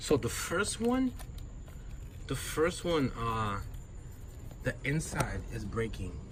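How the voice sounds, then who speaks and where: A man at a very slow pace, with long, frequent pauses, over noticeable background noise. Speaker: car enthusiast vlogger. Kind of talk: casual vlog tutorial. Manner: whispering, quiet; casual, filler-heavy.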